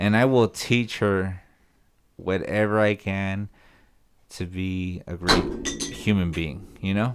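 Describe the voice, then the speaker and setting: On a very clean recording with a silent background, a man with a Spanish accent speaks very slowly in a fairly low pitch. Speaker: podcast co-host. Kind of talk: casual chat. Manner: animated.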